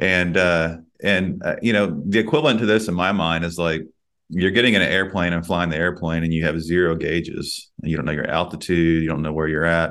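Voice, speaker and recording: In a Texan accent, a man talks at a fairly quick pace with a very deep, low pitch and fairly even intonation against a quiet background. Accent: Texan US Southern. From Texas. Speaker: podcast host and executive leadership coach. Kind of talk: casual interview.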